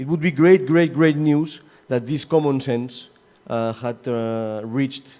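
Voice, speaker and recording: This man speaks with a dark, mellow tone and ordinary pitch variation. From Catalonia, Spain. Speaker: session chair at academic congress. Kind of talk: closing remarks at conference panel. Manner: halting, many fillers and repetitions.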